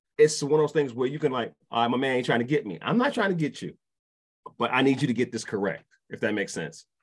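This man talks at a very fast pace with an American accent and lively intonation. His medium-pitched voice has vocal fry. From New York, Brooklyn. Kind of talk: casual chat.

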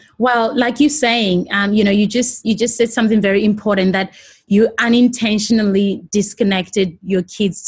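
Somewhat breathy, a woman talks at medium pitch with fairly even intonation and hardly any pauses. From South Africa (Johannesburg). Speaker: TV presenter and producer. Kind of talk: interview.

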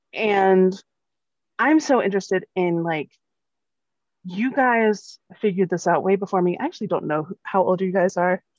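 A woman with a medium-pitched voice speaks at a moderate pace with ordinary pitch variation and long, frequent pauses, the sound dry and close with no echo. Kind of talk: casual interview.

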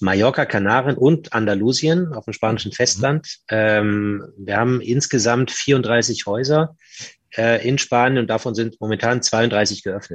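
A man with an unremarkable speaking voice talks at a fairly slow pace and a medium pitch. His pitch variation is ordinary, and the background is quiet. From northern Germany, Hamburg. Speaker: hotel group manager. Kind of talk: interview.

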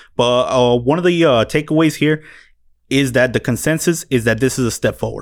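A man speaks at medium pitch and a fairly quick pace, in a normal speaking voice. His loudness stays very even, with ordinary pitch variation. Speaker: podcast host. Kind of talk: casual chat. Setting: studio.

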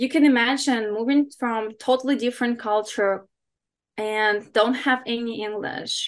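In a quiet background, a woman with a high pitch speaks at a fairly slow pace with fairly even intonation. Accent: non-native. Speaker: fitness coach and competitor. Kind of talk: podcast interview.

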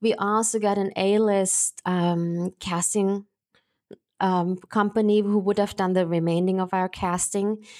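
This very clean recording with a silent background captures a woman with a German accent speaking at a medium pitch. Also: fairly slow pace. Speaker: actress and film producer. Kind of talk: interview. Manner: animated.

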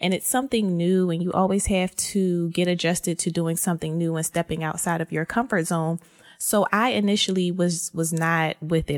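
Speaking at a moderate pace with hardly any pauses, a woman with an unremarkable speaking voice and an American accent talks at a fairly low pitch, with fairly even intonation and very even loudness, in a dry, close sound with no echo. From US, Philadelphia. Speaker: podcast host, faith brand founder. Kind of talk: casual solo podcast talk.

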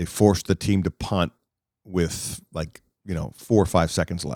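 At a fairly slow pace, a man speaks in an animated tone with ordinary pitch variation, recorded dry and close with no echo. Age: 50s. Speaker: sportscaster. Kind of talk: casual chat.

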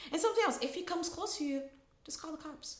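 A woman speaks with very wide swings in pitch. Noticeable background noise sits behind her. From Rio de Janeiro, Brazil. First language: Portuguese. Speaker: attorney. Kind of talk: casual interview chat.

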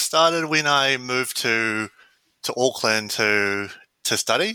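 With a New Zealand accent, a man speaks at medium pitch in a bright, sharp tone with lively intonation. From New Zealand, Wellington. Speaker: systems analyst running a ramen pop-up. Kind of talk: interview. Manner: hesitant, many fillers.

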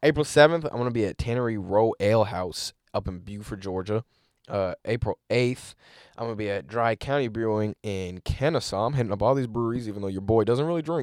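In a very clean recording with a silent background and a dry, close sound with no echo, a man uses a normal speaking voice at medium pitch, fairly quick pace and ordinary pitch variation. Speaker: comedian podcast host. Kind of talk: casual comedic banter.

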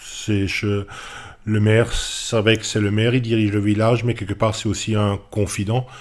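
Fairly low in pitch, a man speaks at a fairly slow pace in a monotone, flat intonation with hardly any pauses. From Alsace, France. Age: 50s. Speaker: village mayor, former baker. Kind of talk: interview. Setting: town hall.

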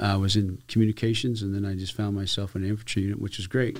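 In a very clean recording with a silent background, a man with an American accent talks at a very fast pace, his fairly low pitch held in a monotone, flat intonation. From Arizona. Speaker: border patrol chief. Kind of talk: interview.

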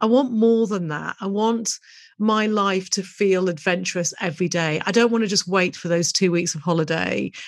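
A woman with a medium pitch and a British accent. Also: ordinary pitch variation, moderate pace. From UK. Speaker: business coach and podcast host. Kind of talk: solo podcast monologue.

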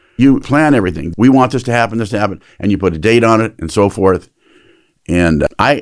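The very clean recording, with a silent background, carries a man's fairly low voice. He has an ordinary speaking voice and lively intonation. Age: 60s. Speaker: pastor. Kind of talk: casual chat.

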